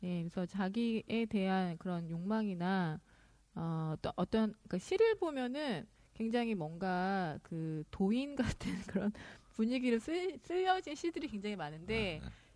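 At a fairly slow pace, a woman speaks in a medium pitch and a dark, mellow tone, with lively intonation. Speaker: podcast co-host and producer. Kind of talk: casual chat about poetry. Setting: studio.

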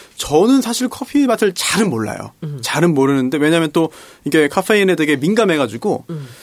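A man's pitch swings very widely as he talks fairly quickly against noticeable background noise. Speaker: lawyer, stand-in host. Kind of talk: casual political chat.

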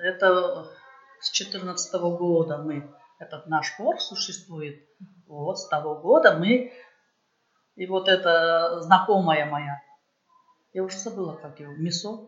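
A woman with a fairly low voice, very slow pace, big swings in loudness, and long, frequent pauses. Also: ordinary pitch variation. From Uzbekistan, Tashkent region. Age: 60s. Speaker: folk choir member. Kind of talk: interview. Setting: charity evening event. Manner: halting.

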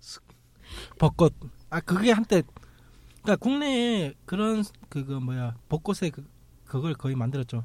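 With a fairly high pitch and very wide pitch swings, a man speaks at a fairly slow pace, leaving long, frequent pauses. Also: big swings in loudness. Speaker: podcast host. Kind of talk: casual chat. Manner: animated.

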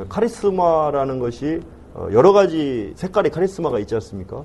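Very wide pitch swings and a fairly quick pace from a man with a fairly high voice. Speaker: football club CEO. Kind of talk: interview. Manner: formal.

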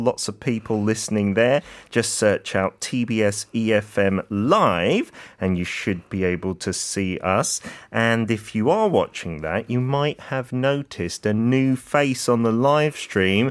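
A man with a British accent speaks at a fairly slow pace, with ordinary pitch variation. The recording is very clean, with a silent background. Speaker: fill-in radio host. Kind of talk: radio show hosting. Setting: radio studio.

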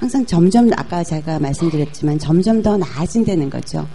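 Soft-spoken and using lively intonation, the speaker talks at a moderate pace over noticeable background noise. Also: woman. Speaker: business executive. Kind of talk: talk show interview.

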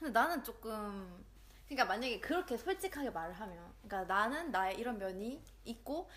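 A woman speaks at a moderate pace in a normal speaking voice with a fairly high pitch. Her intonation is lively. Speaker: podcast co-host. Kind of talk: casual chat.

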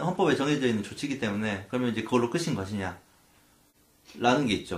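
Intonation is lively as a man talks. He goes at a very fast pace. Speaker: lawyer and podcast co-host. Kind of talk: explanatory legal discussion. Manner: cautious.

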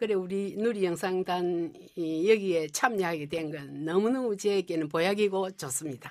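This woman talks at a fairly slow pace. Her pitch sits in the medium range. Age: old. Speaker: retired homemaker, amateur actor. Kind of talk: radio interview.

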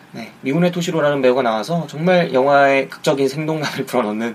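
Noticeable background noise sits behind a man talking at a very fast pace. His pitch is fairly high, with ordinary pitch variation. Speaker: film podcast host. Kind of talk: solo podcast talk. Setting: home recording.

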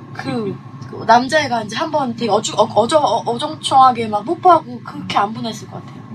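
Fairly high female voice at a fairly quick pace, with very wide pitch swings, big swings in loudness and noticeable background noise. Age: young. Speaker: illustrator. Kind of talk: casual chat.

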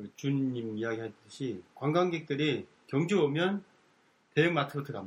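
A man speaks at a fairly high pitch, somewhat breathy, with lively intonation. His loudness swings widely. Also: moderate pace. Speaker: community radio co-host. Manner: polite, formal.

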